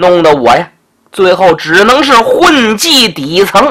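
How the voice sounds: A quiet background behind a natural reading voice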